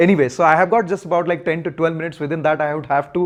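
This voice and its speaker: A man speaks with an Odisha accent. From India, Odisha (Puri). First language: Odia. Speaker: motorcycle vlogger. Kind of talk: public talk.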